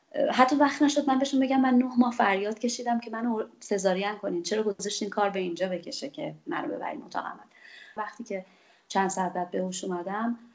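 A woman at a very fast pace, fairly high in pitch, with ordinary pitch variation and big swings in loudness. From Iran, Khuzestan (Ahvaz), Bakhtiari roots. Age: 40s. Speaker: journalist. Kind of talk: personal testimony.

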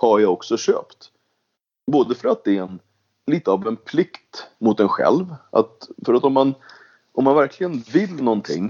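A man speaks at a medium pitch and a fairly slow pace. His voice makes very wide pitch swings. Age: 40s. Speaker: venture capitalist and politician. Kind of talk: casual interview.

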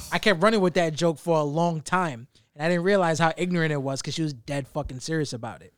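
The speaker talks at a very fast pace, with big swings in loudness. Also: man, fairly high pitch for a man, ordinary pitch variation. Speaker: podcast host. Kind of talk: casual chat. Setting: studio. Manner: animated.

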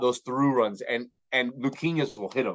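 In an American accent, a man with an unremarkable speaking voice talks at a moderate pace, his fairly high pitch showing ordinary pitch variation over a quiet background. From Miami, Florida. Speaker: bilingual sports broadcaster and commentator. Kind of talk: casual interview.

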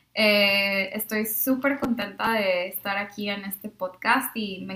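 Very slowly, a woman speaks at medium pitch with a bright, sharp tone. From Mexico, Monterrey. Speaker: speech pathology student, former au pair. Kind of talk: casual chat. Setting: shared microphones in one room.

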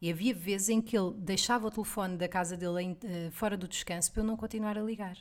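A woman talks at a very fast pace. Her medium pitch holds fairly even intonation. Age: 30s. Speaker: podcast co-host. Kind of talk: casual chat.

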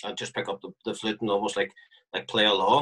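A man with a Northern Irish accent speaks at a fairly low pitch. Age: 40s. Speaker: marching band flute player. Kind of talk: interview.

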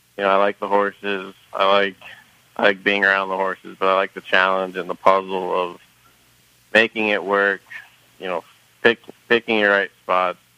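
A man's fairly low, monotone, flat voice, dry and close with no echo, over noticeable background noise. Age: 30s. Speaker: racehorse trainer. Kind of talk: casual interview. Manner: halting, many fillers.

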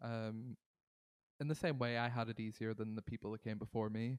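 In a Northern Irish accent, a man talks at a moderate pace and medium pitch, with a dry, close sound and no echo. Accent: Derry Northern Irish. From Northern Ireland, Derry. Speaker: singer-songwriter. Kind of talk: interview.

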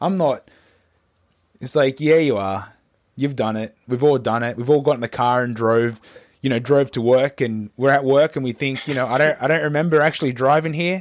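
Ordinary pitch variation marks a man's speech in an Australian accent. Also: medium pitch for a man, moderate pace, very clean recording, silent background. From Australia (Newcastle, NSW). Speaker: podcast host. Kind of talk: casual chat. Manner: halting, many fillers and repeats.

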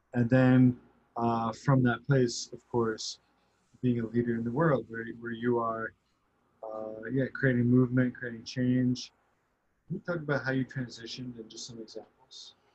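Speaking at a fairly slow pace, a man uses a medium pitch and a monotone, flat intonation. His voice is somewhat breathy, with big swings in loudness. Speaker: business coach for coaches. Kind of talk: interview conversation.

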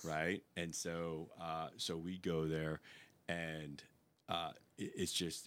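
Very deep and low, a man speaks with an American accent. His pace is very slow. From Long Island, New York. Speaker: retired navy bomb disposal tech and police officer. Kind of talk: casual interview conversation.

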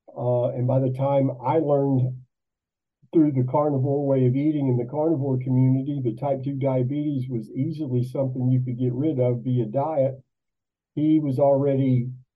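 Spoken at a moderate pace with an American accent and audible room echo. The intonation stays monotone and flat. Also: man. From US. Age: 60s. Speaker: musician. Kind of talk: interview. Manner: repeats words, stammering starts.

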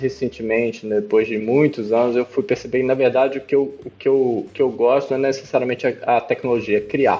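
A man with an ordinary speaking voice talks at a fairly quick pace, with hardly any pauses. His intonation is fairly even. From Brazil (moved around several regions, born in Peru). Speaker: startup CEO. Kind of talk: interview.

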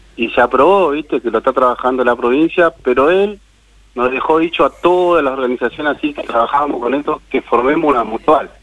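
An unremarkable speaking voice from a man, fairly high in pitch, fairly quick, with ordinary pitch variation. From Argentina, Buenos Aires province. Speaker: cooperative worker, former prisoner. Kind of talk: interview.

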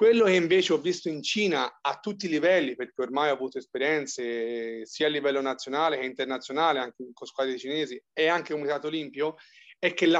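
This man has a normal speaking voice, pitched fairly high with ordinary pitch variation. He talks at a fairly quick pace. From Tuscany, province of Arezzo. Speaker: physiotherapist. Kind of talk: interview.

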